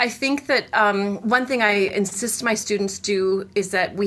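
A woman with a Canadian accent and an unremarkable speaking voice talks at a moderate pace and medium pitch, with ordinary pitch variation. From Canada, Winnipeg, Manitoba. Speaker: cello professor. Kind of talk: interview.

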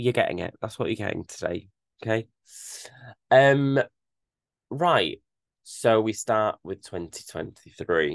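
With a British accent, a man of medium pitch speaks at a fairly slow pace with long, frequent pauses and lively intonation, recorded dry and close with no echo against a quiet background. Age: 20s. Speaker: podcast host. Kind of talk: solo monologue, casual. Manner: chatty, with frequent fillers.

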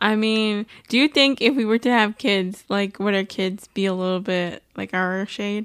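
With hardly any pauses, a woman in a normal speaking voice talks at a moderate pace and medium pitch, her intonation fairly even. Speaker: podcast co-host. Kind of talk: casual chat. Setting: home recording at apartment.

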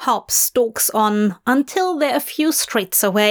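The speaker is reading aloud. It comes across in a natural voice.

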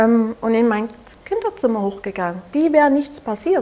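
Noticeable background noise sits behind a woman with a Saxon accent who speaks at a fairly slow pace in a high pitch with very wide pitch swings. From Saxony, Germany. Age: 20s. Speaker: abuse survivor and podcaster. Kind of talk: interview testimony. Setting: café.

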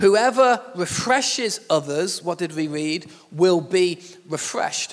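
The man has a Yorkshire accent and a high-pitched voice. He talks at a very slow pace with lively intonation. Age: 40s. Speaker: pastor. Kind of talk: sermon. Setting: church.

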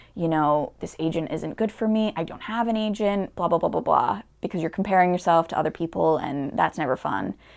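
With a normal speaking voice, a woman talks at a fairly quick pace and a fairly low pitch, with ordinary pitch variation over a quiet background. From Connecticut. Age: 20s. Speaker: actor. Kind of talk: casual interview chat.

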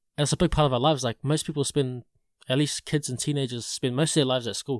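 Very fast speech in a New Zealand accent, with ordinary pitch variation, on a very clean recording with a silent background. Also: man. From New Zealand, Porirua area. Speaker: podcaster. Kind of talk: testimony. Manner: casual, halting with repeated words.

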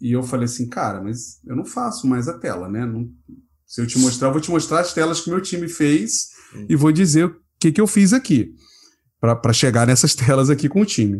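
A somewhat breathy man's voice at medium pitch and moderate pace, with very wide pitch swings. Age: 30s. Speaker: product designer and design leader. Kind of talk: casual chat.

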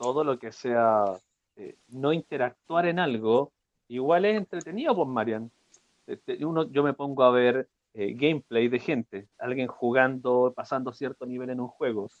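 A man talks fairly slowly, his pitch varying in an ordinary way. His is a plain, everyday voice at a medium pitch. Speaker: podcast host. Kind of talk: casual chat.

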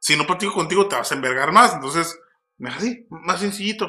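In a raised, projected voice, a man speaks at a fairly quick pace with lively intonation. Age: 20s. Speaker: podcast host. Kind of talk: casual chat.

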